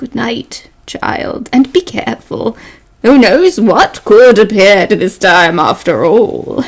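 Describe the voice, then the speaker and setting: A woman's put-on character voice, fairly high in pitch, fairly slow, with very wide pitch swings. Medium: stage play. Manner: cryptic, soft-spoken.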